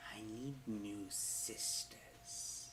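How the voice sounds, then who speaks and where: Whispering in a put-on character voice over loud background noise. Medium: actual play. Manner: haughty, menacing.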